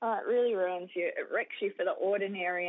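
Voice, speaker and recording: A woman with an Australian accent. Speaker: ministry leader and author. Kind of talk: interview.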